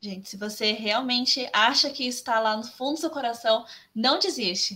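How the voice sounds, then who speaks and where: Bright and sharp in tone, a woman's high voice moves with lively intonation at a moderate pace. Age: 20s. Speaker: graphic designer. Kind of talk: interview.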